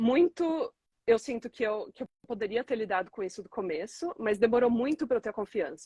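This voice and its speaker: An unremarkable speaking voice from a woman, fairly high in pitch, with lively intonation and a dry, close sound with no echo. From Brazil. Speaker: entrepreneur. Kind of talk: interview.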